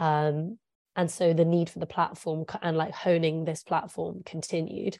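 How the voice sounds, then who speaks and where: A woman with an English accent speaks at a moderate pace in a fairly low voice, her intonation flat and monotone. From England. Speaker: journalist. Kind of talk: interview.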